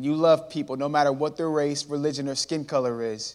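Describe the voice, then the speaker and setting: A man with an unremarkable speaking voice and an American accent talks at a fairly quick pace with fairly even intonation. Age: 20s. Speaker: motivational speaker. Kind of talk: inspirational talk. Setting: church stage with audience.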